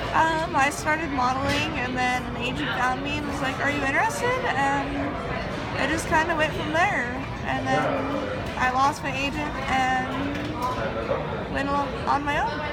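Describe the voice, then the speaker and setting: Someone speaks at a fairly slow pace while loud music plays in the background. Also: woman. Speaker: interviewee. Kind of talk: interview answer. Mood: relaxed, slightly shy. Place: cafe. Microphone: phone near.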